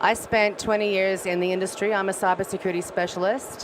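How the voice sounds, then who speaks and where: Noticeable background noise behind a woman with an Australian accent, medium pitch, moderate pace and fairly even intonation. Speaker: audience member asking a question. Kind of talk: audience question at a panel. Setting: conference stage with audience. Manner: quiet at first.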